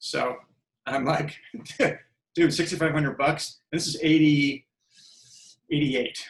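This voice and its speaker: Fairly slow, somewhat breathy speech with monotone, flat intonation and long, frequent pauses. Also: man, fairly high pitch for a man. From US, San Francisco Bay Area. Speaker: film director. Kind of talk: podcast interview.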